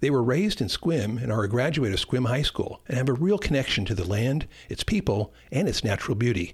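A man speaks at a fairly quick pace and medium pitch, with hardly any pauses and a somewhat breathy quality. His pitch swings very widely while his loudness stays very even. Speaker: radio host and producer. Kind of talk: radio show intro and outro, scripted announcing. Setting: radio studio broadcast.

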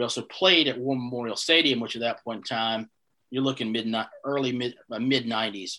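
A man with a North Carolina accent, medium pitch, a bright, sharp tone and fairly even intonation, on a very clean recording with a silent background. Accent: Southern US (North Carolina). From US South, Eastern North Carolina. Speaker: head groundskeeper. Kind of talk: casual interview chat.

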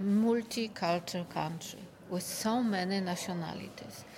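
A woman speaks with a Polish accent. Her pace is fairly slow. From Poland. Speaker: tunnelling engineer. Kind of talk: interview. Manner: halting.

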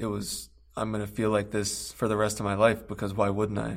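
The voice has vocal fry. Its pace is moderate. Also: man. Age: 20s. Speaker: addiction treatment worker in recovery. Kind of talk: interview.

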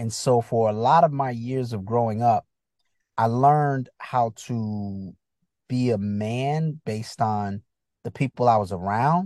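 A man with an American accent speaks in a plain, everyday voice at a fairly slow pace, his medium pitch showing ordinary variation, in a dry, close recording with no echo and a quiet background. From US Northeast, Bridgeport, Connecticut. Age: 50s. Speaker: comedian and actor. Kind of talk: casual interview chat. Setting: video call.

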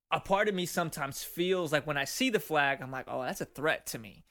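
A man speaks with an American accent in a bright, sharp tone with ordinary pitch variation. The recording is very clean, with a silent background. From Mexico, raised in the US. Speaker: podcast co-host, firefighter. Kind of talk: casual chat.

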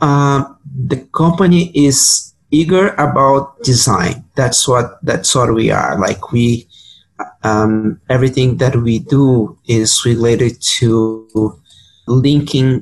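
Speaking at a very slow pace in a Portuguese accent, a man keeps a very even loudness, a medium pitch and ordinary pitch variation. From Brazil, Sao Paulo. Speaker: urban planner. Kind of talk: interview.

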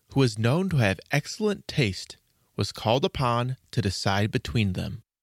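Lively in intonation, a man with a plain, everyday voice speaks at a moderate pace and medium pitch in a very clean recording with a silent background. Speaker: storyteller host. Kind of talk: fairy-tale narration, reading aloud. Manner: storytelling cadence, gentle and measured.

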